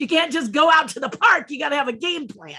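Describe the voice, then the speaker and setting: In a raised, projected voice, a woman talks at a fairly quick pace. Her tone is animated, bright and sharp. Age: 60s. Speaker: sculptor and puppeteer. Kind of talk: interview.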